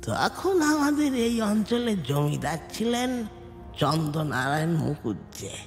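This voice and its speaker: A man speaks at a fairly slow pace in a put-on character voice, fairly high-pitched, with clear music playing in the background. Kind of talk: audio drama dialogue. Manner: halting, breathless.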